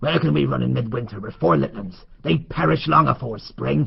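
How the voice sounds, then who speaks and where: This put-on character voice is gruff and raspy. It moves at a fairly quick pace with very wide pitch swings. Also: man, fairly low pitch for a man. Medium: audio drama.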